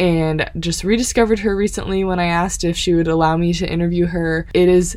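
A woman with an American accent at a medium pitch and moderate pace, over noticeable background noise. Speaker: podcast host. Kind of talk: interview. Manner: animated.

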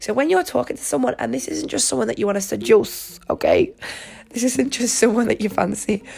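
With a British accent, a woman speaks in an animated tone at a fairly quick pace. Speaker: podcast host. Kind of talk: casual monologue.

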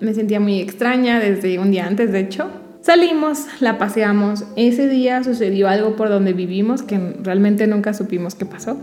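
Noticeable background noise and audible room echo both surround a woman as she speaks. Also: hardly any pauses. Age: 20s. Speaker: podcast co-host. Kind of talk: casual chat.

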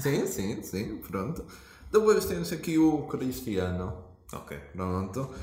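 Very slow speech in a European Portuguese accent, with very wide pitch swings, audible room echo and noticeable background noise. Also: man, medium pitch for a man. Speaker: podcast host. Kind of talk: casual chat.

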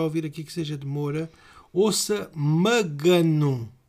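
Using ordinary pitch variation, a man with a European Portuguese accent speaks at a very slow pace. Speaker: podcast co-host. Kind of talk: casual chat.

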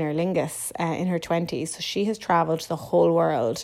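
A woman's fairly low-pitched voice with an Irish accent. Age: 30s. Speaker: podcast host. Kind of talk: casual solo monologue. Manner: animated.

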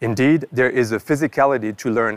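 A man with a French accent speaks at a medium pitch with ordinary variation. The sound is dry and close, with no echo. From northern France. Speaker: professor. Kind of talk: scripted narration. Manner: formal.

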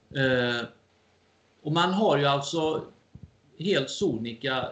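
This man has a fairly high pitch with ordinary pitch variation. He speaks at a very slow pace. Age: 50s. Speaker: amateur historian and lecturer. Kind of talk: interview.

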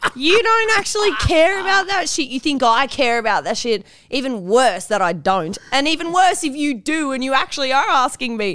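A woman's bright, sharp, high voice in an Australian accent, with very wide pitch swings, a moderate pace and hardly any pauses. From Newcastle, Australia. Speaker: online content creator. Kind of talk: casual chat.

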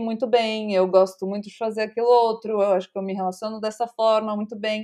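Against a quiet background, a woman with an unremarkable speaking voice talks at a moderate pace and a fairly high pitch. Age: 30s. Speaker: content creator and startup founder. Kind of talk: casual chat.

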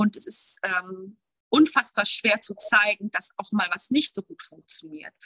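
A woman with a medium pitch and a bright, sharp tone speaks fairly slowly with lively intonation, in a dry, close sound with no echo. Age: 30s. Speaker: bereavement counselor. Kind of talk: interview. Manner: halting.

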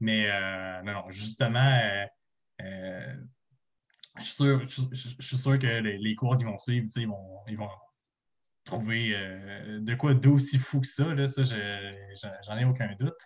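At a very slow pace and with long, frequent pauses, a man speaks in a medium pitch that is somewhat breathy, with ordinary pitch variation. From Quebec, Montreal South Shore. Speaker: student podcast co-host. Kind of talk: casual chat. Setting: video call. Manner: halting.

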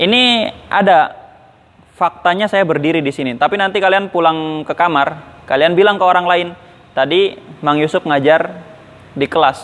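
Amid noticeable background noise, a man with a high pitch and ordinary pitch variation speaks with long, frequent pauses. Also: moderate pace. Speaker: Islamic boarding school teacher. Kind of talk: lecture.

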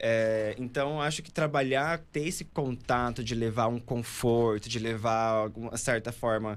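A man has an unremarkable speaking voice pitched in the medium range. He talks at a fairly slow pace with ordinary pitch variation. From Pará, northern Brazil. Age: 20s. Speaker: architect. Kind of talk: casual interview chat.

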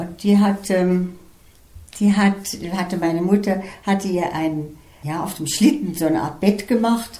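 A medium-pitched woman at a fairly slow pace, with ordinary pitch variation and long, frequent pauses, plus noticeable background noise and audible room echo. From Estonia, German-speaking minority, then Germany. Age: 80s+. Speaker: retired flute teacher. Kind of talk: life story interview.

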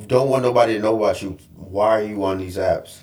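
Here a man speaks at medium pitch with ordinary pitch variation. His voice is somewhat breathy. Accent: American. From New York. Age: 30s. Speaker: corporate trainer and actor. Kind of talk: casual chat.

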